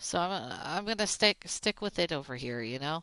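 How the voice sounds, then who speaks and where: Woman with an American accent, very deep, low pitch, very wide pitch swings, bright, sharp tone and moderate pace, against a quiet background. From Oklahoma, US South. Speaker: gaming streamer. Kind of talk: casual chat.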